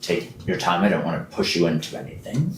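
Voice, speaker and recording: A man uses a put-on character voice with a very deep, low pitch. He moves at a fairly quick pace, with a slight echo. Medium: actual play. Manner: curt, matter-of-fact.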